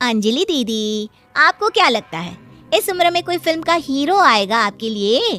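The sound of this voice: A woman puts on a cartoonish character voice that is high, bright and sharp, with big pitch swings at a fairly slow pace.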